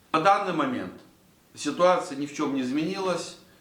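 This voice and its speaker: Over noticeable background noise and audible room echo, a man talks at a moderate pace with lively intonation. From Latvia. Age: 60s. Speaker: vlogger. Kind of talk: casual monologue to camera. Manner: halting, many filler sounds.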